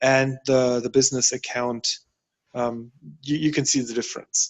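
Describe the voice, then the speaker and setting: In a German accent, the man gets his words out at a very slow pace. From Germany. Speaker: workshop participant. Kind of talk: workshop discussion. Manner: halting.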